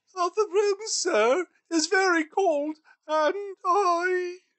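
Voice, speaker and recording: This is a put-on character voice pitched extremely high. It moves at a very slow pace. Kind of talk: audiobook reading with character voices. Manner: hesitant, meek.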